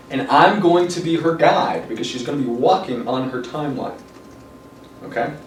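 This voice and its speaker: Talking at a fairly quick clip, with noticeable noise in the background. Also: man. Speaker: NLP and hypnosis trainer. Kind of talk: live training seminar explanation. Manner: casual, hesitant with fillers.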